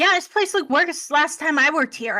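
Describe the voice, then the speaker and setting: In a put-on character voice, a high, squeaky, female-sounding voice speaks at a fairly quick pace. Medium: actual play.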